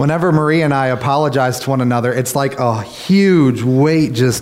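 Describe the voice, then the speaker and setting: Noticeable background noise and audible room echo surround a man speaking in an American accent. His medium pitch carries ordinary variation at a fairly quick pace. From Kentucky, US. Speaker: pastor. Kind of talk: prayer; sermon. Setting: church.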